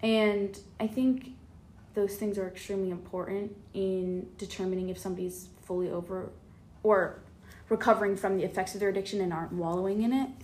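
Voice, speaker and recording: A woman with a plain, everyday voice at medium pitch, a fairly quick pace, and fairly even intonation. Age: 20s. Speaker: nursing student. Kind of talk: casual interview chat.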